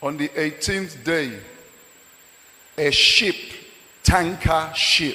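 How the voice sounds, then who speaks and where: A man's fairly high voice at a very slow pace, with noticeable background noise. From Nigeria. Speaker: pastor. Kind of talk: sermon.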